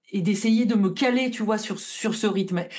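The recording of a woman speaking with ordinary pitch variation has audible room echo. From northern France, Lille. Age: 40s. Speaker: tarot reader. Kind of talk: casual interview. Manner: hesitant, many fillers.

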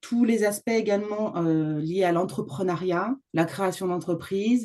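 Dark and mellow in tone, a woman speaks with ordinary pitch variation. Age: 50s. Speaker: home organizer. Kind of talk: interview.

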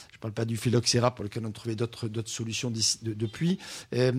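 A man's dark, mellow tone at a fairly quick pace, on a very clean recording with a silent background. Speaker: wine radio co-host. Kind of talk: casual radio chat.

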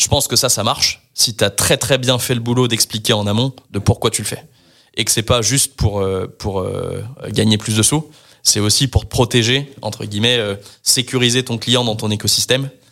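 The tone is bright and sharp, the pace moderate and the intonation fairly even, all captured in a very clean recording against a silent background. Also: man, medium pitch for a man. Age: 30s. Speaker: tech startup co-founder. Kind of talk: casual interview. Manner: hesitant with fillers.

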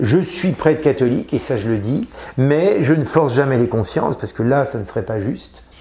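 With a dark, mellow tone and lively intonation, a man sounds somewhat breathy. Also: medium pitch for a man, moderate pace. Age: 50s. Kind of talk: interview. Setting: aboard a navy ship. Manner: halting, many hesitations.

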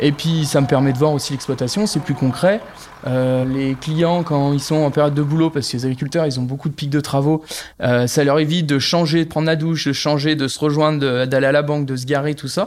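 This man has a fairly high pitch and fairly even intonation. He talks at a fairly quick pace. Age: 30s. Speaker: agricultural bank advisor, former dairy farmer. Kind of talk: interview. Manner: hesitant, many fillers.

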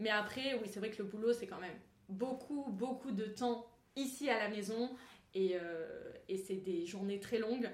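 Audible room echo surrounds a woman who speaks at a fairly slow pace and a fairly high pitch, with ordinary pitch variation. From Grasse, French Riviera. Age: 20s. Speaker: wedding planner. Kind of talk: casual interview.

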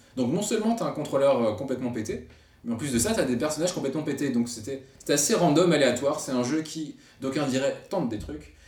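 A man's fairly high, lively voice at a very fast pace, with audible room echo and noticeable background noise. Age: 30s. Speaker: podcast host, graphic designer and games writer. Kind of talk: casual chat.

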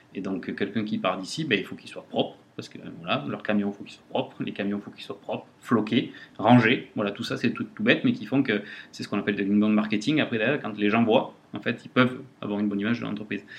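Speaking at a very fast pace, a man with a fairly low pitch shows ordinary pitch variation and big swings in loudness. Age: 40s. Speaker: company director. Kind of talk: interview. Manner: hesitant.

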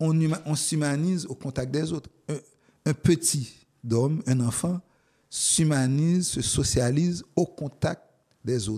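Speaking at a very slow pace with long, frequent pauses, a man uses a fairly high, somewhat breathy voice with a dark, mellow tone and ordinary pitch variation. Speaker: poet and professor. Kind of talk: interview. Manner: halting.

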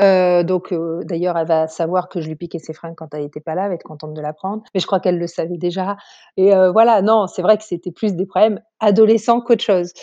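Over a quiet background, a woman talks at a very fast pace with a medium pitch, a dark, mellow tone and fairly even intonation. Her loudness swings widely, and the sound is dry and close with no echo. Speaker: sister of an expatriate. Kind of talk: interview, personal storytelling.

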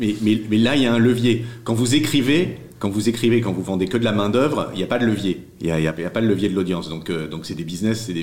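A man with a fairly low pitch and ordinary pitch variation, speaking at a fairly quick pace with hardly any pauses, audible room echo behind him. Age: 50s. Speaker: newsletter founder and writer. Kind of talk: interview. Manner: halting, many repetitions.

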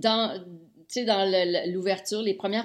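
The speaker has a Quebec accent and talks at a fairly slow pace. Intonation stays fairly even. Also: woman. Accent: Québécois French. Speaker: music TV host. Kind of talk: casual chat.

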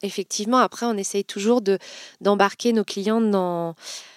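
On a very clean recording with a silent background, a woman talks at a medium pitch with fairly even intonation. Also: dry, close sound with no echo. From Vendée, western France. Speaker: fashion brand founder. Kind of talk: interview. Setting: company office. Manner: hesitant, many fillers.

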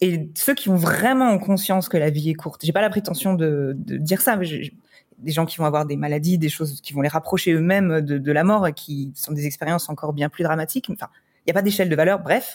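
A woman speaks with a very deep, low voice. Her pace is fairly quick, and her pitch varies in an ordinary way. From France. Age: 30s. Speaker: wedding photographer. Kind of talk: casual interview chat.

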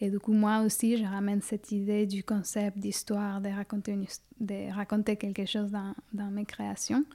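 Her dark, mellow tone stays monotone and flat, with hardly any pauses and a dry, close sound with no echo. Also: medium pitch for a woman, moderate pace. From Ecuador. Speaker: collage artist. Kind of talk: interview. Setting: at home. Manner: halting.

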